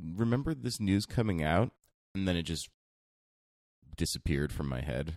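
A man's very deep, low voice with vocal fry and very wide pitch swings, at a moderate pace with long, frequent pauses, in a dry, close sound with no echo. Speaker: podcast host. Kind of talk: casual banter.

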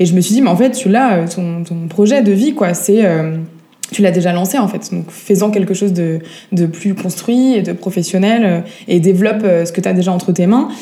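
A woman's medium pitch shows ordinary variation while noticeable background noise runs underneath. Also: moderate pace. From France. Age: 30s. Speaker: vintage shop founder. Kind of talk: interview. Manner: hesitant, many fillers.

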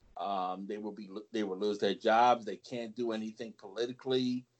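In an ordinary speaking voice, a man delivers his words at a moderate pace. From New Jersey. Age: 50s. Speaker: anti-fascist activist. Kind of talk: interview.

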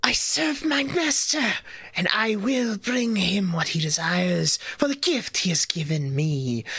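A female-sounding voice puts on a character voice at a medium pitch and a fairly slow pace. Hissing and light background noise can be heard.

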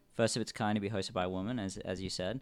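A man with an Australian accent speaks in a very clean recording over a silent background. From Western Australia, Perth. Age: 20s. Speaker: podcast host. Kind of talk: scripted show intro and outro; casual interview.

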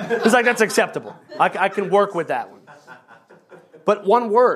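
A man at a moderate pace. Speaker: worship leader and drummer. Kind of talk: conference breakout teaching session. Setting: stage with audience. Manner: conversational, humorous.

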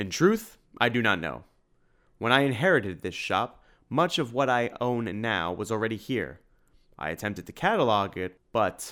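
A gruff, put-on character voice from a man, medium in pitch, at a moderate pace on a very clean recording with a silent background. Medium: read story. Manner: formal, old-fashioned speech.

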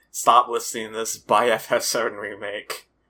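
Here is a man with an American accent and a bright, sharp tone. He talks at a fairly slow pace. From California. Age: 20s. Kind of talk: casual chat.

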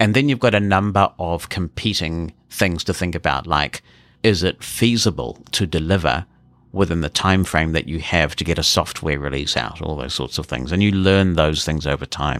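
Speaking with a New Zealand accent, a man with a very deep, low pitch and vocal fry talks at a moderate pace with ordinary pitch variation, in a very clean recording with a silent background and a dry, close sound with no echo. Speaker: assistive technology expert. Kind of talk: interview.

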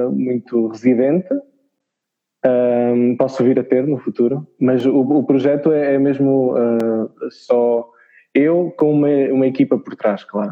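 At a fairly slow pace with long, frequent pauses, a man speaks in a medium pitch and fairly even intonation. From northern Portugal, Chaves. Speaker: singer-songwriter. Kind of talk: interview. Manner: hesitant, repetitive. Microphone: robotic, choppy connection.

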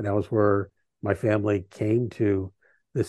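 A man's fairly low, somewhat breathy voice carries fairly even intonation. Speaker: author. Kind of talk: interview.

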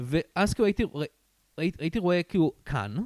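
The sound is dry and close with no echo as speech unfolds at a moderate pace. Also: man. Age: 20s. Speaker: podcast host, film student. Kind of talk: casual chat. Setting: studio.

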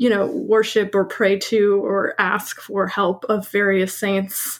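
A woman with an American accent is heard on a very clean recording where the background is silent. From Montreal, Quebec (some childhood in New York). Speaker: actor and writer. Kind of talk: casual chat. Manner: hesitant, many fillers.

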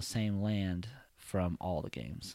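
A man with an unremarkable speaking voice and a fairly low pitch talks with fairly even intonation in a very clean recording, the sound dry and close with no echo and the background silent. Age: 30s. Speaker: gaming podcast co-host. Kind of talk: casual chat.

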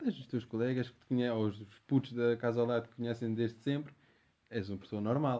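Speaking at a very fast pace, a man with medium pitch and a dark, mellow tone keeps a fairly even intonation while his loudness swings widely. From Portugal. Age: 20s. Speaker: music producer and songwriter. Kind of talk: casual chat.

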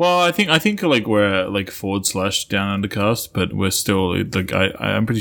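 A man with an Australian accent at a fairly quick pace, in a very clean recording with a silent background. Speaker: podcast co-host. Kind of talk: casual chat.

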